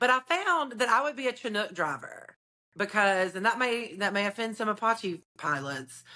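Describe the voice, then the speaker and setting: An animated woman with a Southern US accent speaks at a moderate pace, her fairly high, bright, sharp voice swinging very widely in pitch. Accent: Southern twang. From North Alabama (Decatur). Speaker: realtor. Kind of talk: podcast interview.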